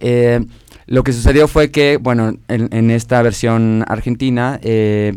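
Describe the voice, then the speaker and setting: With music playing in the background, a man talks at a medium pitch, his intonation fairly even. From northern Mexico. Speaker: actor. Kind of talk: casual chat.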